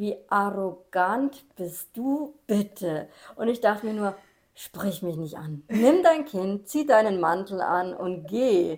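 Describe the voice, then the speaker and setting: A woman's medium-pitched voice, very slow, with lively intonation. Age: 40s. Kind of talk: casual chat.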